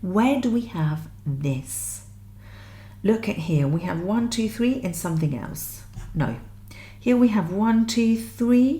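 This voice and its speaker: A woman speaks at a very slow pace with very wide pitch swings. Audible room echo surrounds her voice. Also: medium pitch for a woman. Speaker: music theory teacher. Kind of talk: tutorial.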